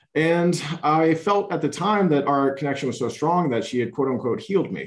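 Against a quiet background, a man with an unremarkable speaking voice talks at a fairly quick pace with lively intonation. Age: 30s. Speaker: addiction recovery coach. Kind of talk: interview conversation.

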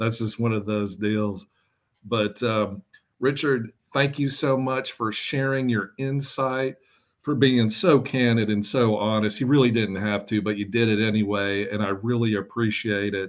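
A man with an unremarkable speaking voice, medium pitch, fairly even intonation, and a fairly slow pace. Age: 40s. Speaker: fantasy baseball podcast host. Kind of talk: casual chat. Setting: video call.

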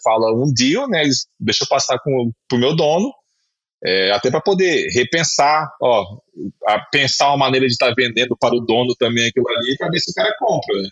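Lively intonation runs through a man's speech at a medium pitch and moderate pace. He has a plain, everyday voice. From Espírito Santo, Brazil. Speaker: former basketball player and sports agent. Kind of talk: casual interview.

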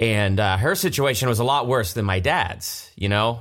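This man, with an American accent, has a fairly low pitch and a normal speaking voice at a moderate pace, on a very clean recording with a silent background. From Ohio, Columbus area. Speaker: behind-the-scenes video host, actor. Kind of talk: casual chat. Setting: studio.

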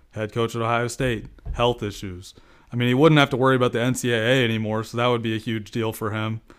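Flat and monotone, a man rattles along at a very fast pace. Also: medium pitch for a man. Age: 20s. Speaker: football analyst. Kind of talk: casual chat.

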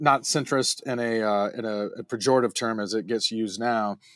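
A man speaks fairly slowly with a North Carolina accent. The recording is very clean, with a silent background and a dry, close sound with no echo. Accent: North Carolina Southern American. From US South, North Carolina (Piedmont Triad, High Point). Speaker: improv performer and film director. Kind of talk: casual interview chat.

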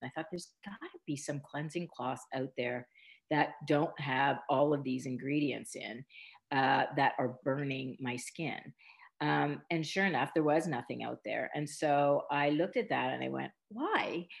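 A woman with a Canadian accent talks at a fairly slow pace. Her voice is very deep and low, with vocal fry. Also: ordinary pitch variation. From Canada, rural Mennonite community. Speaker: beauty brand founder. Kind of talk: interview. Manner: halting.

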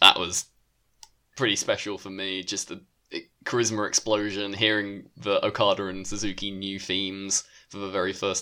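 A man with a British accent speaks at a fairly low pitch and a moderate pace, his tone bright and sharp. His intonation is monotone and flat, on a very clean recording with a silent background. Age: 20s. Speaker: wrestling podcast co-host. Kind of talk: casual chat.

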